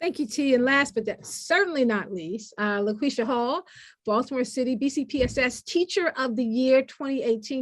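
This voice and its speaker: A woman speaks at a high pitch with a slight Southern US accent and ordinary pitch variation. Her pace is fairly quick with hardly any pauses, and the background is quiet. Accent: slight Southern twang. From US South. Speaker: panel moderator. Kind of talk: panel moderation.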